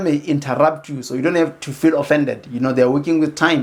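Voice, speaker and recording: A man talks very fast in a fairly high voice. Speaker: educational YouTuber. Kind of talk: tutorial. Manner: halting, many fillers and repeats.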